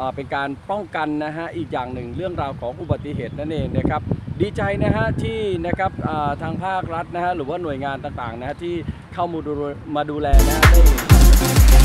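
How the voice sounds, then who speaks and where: Against loud background noise, a man talks with ordinary pitch variation, the sound dry with no echo. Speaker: local video reporter. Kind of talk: casual vlog report. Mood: pleased, upbeat. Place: street. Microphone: phone near.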